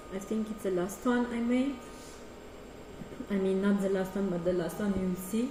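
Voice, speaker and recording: A woman with a Romanian accent speaks with fairly even intonation and long, frequent pauses, with audible room echo and noticeable background noise. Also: medium pitch for a woman, moderate pace. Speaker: artist and choreographer. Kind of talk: artist talk presentation. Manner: halting.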